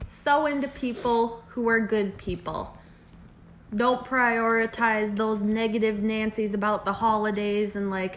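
A woman with an unremarkable speaking voice, fairly high in pitch, at a fairly slow pace with fairly even intonation. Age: 20s. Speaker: podcast co-host. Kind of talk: casual chat.

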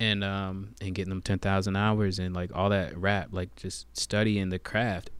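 The speaker has a normal speaking voice with an American accent and fairly even intonation. The pace is moderate with hardly any pauses, on a very clean recording with a silent background. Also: man, fairly low pitch for a man. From US Virgin Islands (Saint Thomas), raised US South. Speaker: rapper, singer and poet. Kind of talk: casual podcast interview.

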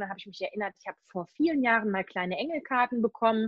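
A woman at a very fast pace, with fairly high pitch and ordinary pitch variation. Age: 40s. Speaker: animal communicator and medium. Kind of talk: casual interview.

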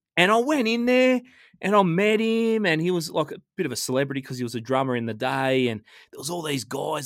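Speaking at a fairly quick pace, a man sounds animated, his intonation lively, in a very clean, dry, close recording with a silent background and no echo. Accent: Australian. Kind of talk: casual chat.

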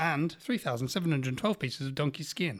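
Very wide pitch swings from a man with a British accent. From UK. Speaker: podcast host. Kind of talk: casual chat. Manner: animated.

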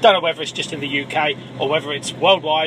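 Through noticeable background noise comes a man with an English accent. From England, Cambridgeshire. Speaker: listener caller. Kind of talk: voicemail anecdote.

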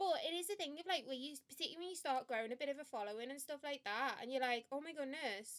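Talking at a very fast pace with hardly any pauses, a woman uses a high pitch. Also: ordinary pitch variation. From Liverpool, England. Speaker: podcast co-host, marketing professional. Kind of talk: casual chat.

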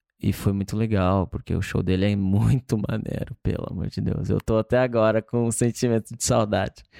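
Dark, mellow tone at a moderate pace, fairly even in intonation, with a dry, close sound and no echo. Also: man, fairly low pitch for a man. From Brazil, Campo Grande, Mato Grosso do Sul. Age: 20s. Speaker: touring musician. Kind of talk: casual chat. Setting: home.

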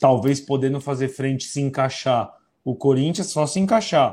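A man talks at a moderate pace in a fairly high pitch, with ordinary pitch variation. He has an unremarkable speaking voice. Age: 40s. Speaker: football pundit. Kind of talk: casual chat.

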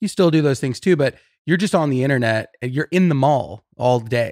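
A man speaks in a Californian accent at a fairly quick pace, with ordinary pitch variation. The recording is very clean with a silent background and a dry, close sound with no echo. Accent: Californian American. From Southern California, Riverside. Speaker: brand marketing manager. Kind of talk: casual chat.

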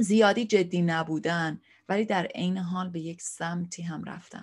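Fairly low-pitched and somewhat breathy, a woman's voice at a fairly slow pace with fairly even intonation, over a quiet background. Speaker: therapist and online show host. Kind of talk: casual vlog monologue. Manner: relaxed, unscripted.

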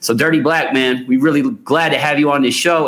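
This man has a fairly high pitch. He speaks with an American accent. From Seattle, US Pacific Northwest. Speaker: podcast co-host. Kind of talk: casual chat.

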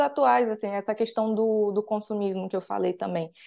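Against a quiet background, a woman speaks at a fairly high pitch with a dark, mellow tone and lively intonation. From Rio de Janeiro, Brazil. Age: 20s. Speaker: financial mentor and author. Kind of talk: podcast interview.

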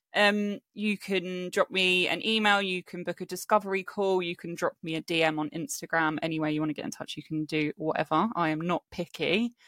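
A woman with a southern English accent at fairly low pitch, ordinary pitch variation, a fairly quick pace with hardly any pauses, and a dry, close sound with no echo in a very clean recording with a silent background. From England, Hampshire (Aldershot), partly raised in Spain. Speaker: self-worth coach. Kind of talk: casual chat.

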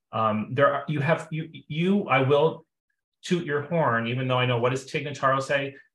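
Here a man at fairly high pitch speaks at a moderate pace in an unremarkable speaking voice, with ordinary pitch variation. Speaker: friend of host. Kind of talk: casual chat.

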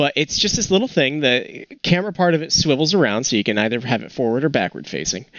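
Very fast and with hardly any pauses, a man talks at a fairly high pitch with very wide pitch swings and vocal fry. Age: 20s. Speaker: photography podcast co-host. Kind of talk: casual chat. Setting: remote call from home.

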